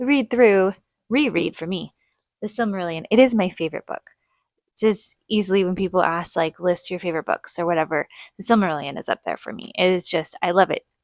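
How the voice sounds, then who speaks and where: A woman at medium pitch and a fairly quick pace, with ordinary pitch variation and big swings in loudness, in a dry, close sound with no echo. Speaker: book reviewer. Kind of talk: casual chat. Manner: quiet.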